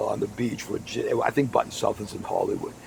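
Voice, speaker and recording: A man speaks over noticeable background noise. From Massachusetts, Boston area. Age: 60s. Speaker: podcast host, former radio broadcaster. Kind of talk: casual chat.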